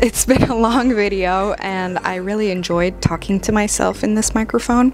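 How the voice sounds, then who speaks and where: A woman's relaxed voice with an American accent, at a moderate pace over noticeable background noise. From England, with some years in the US. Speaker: beauty vlogger. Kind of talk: casual chat while doing makeup. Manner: chatty, relaxed.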